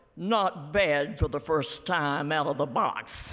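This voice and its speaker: A man performs a put-on character voice. He talks fairly slowly, at a fairly high pitch. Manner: muttering.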